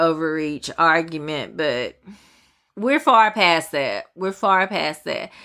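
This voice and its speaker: In a very clean recording with a silent background, a woman with an American accent speaks at a very slow pace, her bright, sharp tone set at a fairly low pitch. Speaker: podcast host, news commentator. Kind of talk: casual news commentary solo podcast. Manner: casual, chatty, opinionated.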